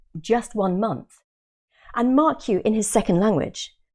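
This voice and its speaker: Delivered at a moderate pace with a British accent, the voice has a dark, mellow tone. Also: woman. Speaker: exam coach. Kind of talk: webinar sales pitch. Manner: animated.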